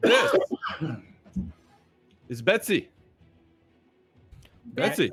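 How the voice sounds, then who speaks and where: In a loud, booming, put-on character voice with a fairly high pitch, the speaker performs over faint music in the background. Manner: showy, projecting to an audience.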